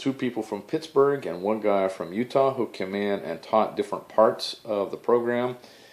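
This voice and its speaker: Moderate pace and ordinary pitch variation from a man at a medium pitch. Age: 60s. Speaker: physician assistant. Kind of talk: casual vlog review. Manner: hesitant, many fillers.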